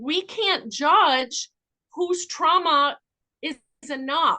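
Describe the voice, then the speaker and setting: A woman with a bright, sharp tone projects a raised voice at a very slow pace. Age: 60s. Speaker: addiction intake counselor and trauma specialist. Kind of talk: podcast interview.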